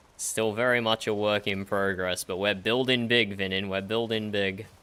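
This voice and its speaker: A man with an Australian accent talks at a moderate pace. His voice is fairly low in pitch, with a bright, sharp tone. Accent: Australian, recognizable by voice. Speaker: streamer. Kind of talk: casual chat. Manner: animated.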